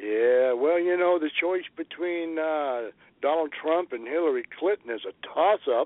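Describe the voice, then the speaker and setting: This man has an unremarkable speaking voice, fairly high in pitch with ordinary pitch variation, and he talks at a fairly slow pace. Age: 60s. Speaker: podcaster and friend of host. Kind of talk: casual interview.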